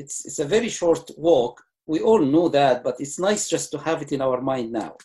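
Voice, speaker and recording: A man's fairly high, somewhat breathy voice with a dark, mellow tone, ordinary pitch variation and a moderate pace. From Egypt. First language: Arabic. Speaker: retired surgeon. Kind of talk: lecture talk answering host.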